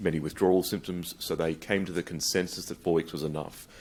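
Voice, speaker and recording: A man speaks with a very deep, low-pitched voice. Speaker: psychiatric researcher and lecturer. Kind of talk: conference lecture. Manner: fast.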